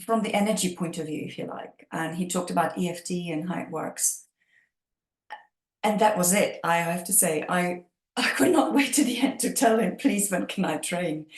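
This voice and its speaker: A woman speaks at a moderate pace in a fairly low, somewhat breathy voice with lively intonation. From Czech Republic, Prague. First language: Czech. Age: 50s. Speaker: EFT practitioner. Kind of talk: interview.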